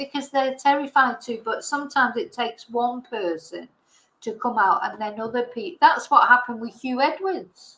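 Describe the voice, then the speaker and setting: A woman speaks in an English accent. Her pitch is high. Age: 60s. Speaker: online commentator. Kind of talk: casual livestream chat. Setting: livestream.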